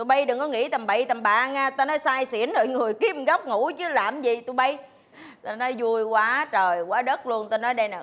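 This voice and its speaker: A woman with a high pitch at a moderate pace. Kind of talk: sitcom dialogue. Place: cafe.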